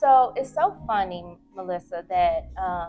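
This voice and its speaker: Over music in the background, a woman speaks softly. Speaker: business owner and massage healer. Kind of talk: interview. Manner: soft-spoken.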